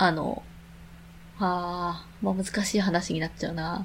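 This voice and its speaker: With vocal fry and a fairly low pitch, a woman talks at a very slow pace using ordinary pitch variation. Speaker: podcast co-host. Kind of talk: casual chat.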